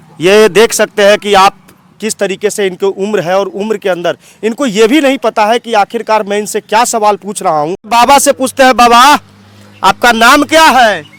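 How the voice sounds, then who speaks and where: Recorded with a dry, close sound and no echo, a man talks in a high-pitched voice with ordinary pitch variation. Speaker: news reporter. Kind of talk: field news report to camera.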